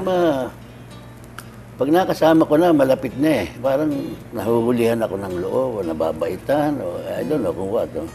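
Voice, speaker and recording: Over music in the background, a man at a medium pitch speaks at a moderate pace, his pitch swinging very widely between long, frequent pauses. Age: 80s+. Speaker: comedian. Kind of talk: interview answer.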